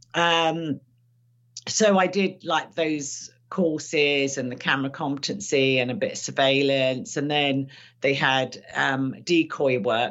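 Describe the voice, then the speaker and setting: With a London accent, a woman speaks at a fairly slow pace in a very deep, low voice. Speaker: retired police detective. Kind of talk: interview.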